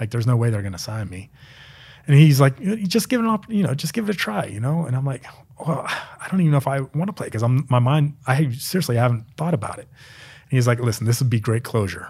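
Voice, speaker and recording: A medium-pitched man, somewhat breathy, at a very fast pace with lively intonation. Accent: American. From central Pennsylvania, small town. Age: 30s. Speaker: former NFL long snapper. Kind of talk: casual interview.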